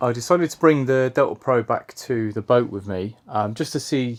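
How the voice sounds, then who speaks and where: Speaking with an English accent, a man keeps a medium pitch and shows ordinary pitch variation. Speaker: YouTuber, narrowboat owner. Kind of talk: product review vlog.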